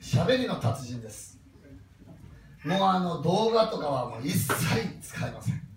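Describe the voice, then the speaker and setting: With a Kansai accent, the speaker moves at a moderate pace through long, frequent pauses, very wide pitch swings and big jumps in loudness, against noticeable background noise and audible room echo. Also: man, fairly high pitch for a man. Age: 50s. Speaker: motivational speaker. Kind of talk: talk to a live audience.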